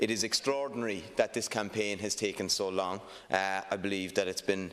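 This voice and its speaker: A man speaks in a Cork accent at a fairly low pitch with fairly even intonation. The recording is very clean, with a silent background. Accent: Irish (Cork). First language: Irish. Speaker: politician. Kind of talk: parliamentary speech. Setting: parliament chamber. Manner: hesitant, many fillers.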